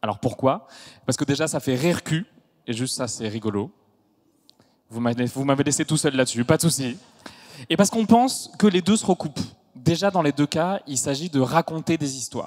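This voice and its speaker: Recorded dry and close with no echo, a man speaks at a moderate pace and fairly high pitch, with lively intonation, big swings in loudness, and long, frequent pauses. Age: 30s. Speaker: stand-up comedian. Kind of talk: stage show introduction. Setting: stage with audience.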